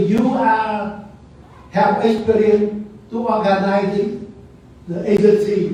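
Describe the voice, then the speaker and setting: A man with a strong Vietnamese accent speaks at a high pitch with fairly even intonation, amid noticeable background noise and audible room echo. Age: 80s+. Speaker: museum founder. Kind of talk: speech at event. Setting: auditorium with audience.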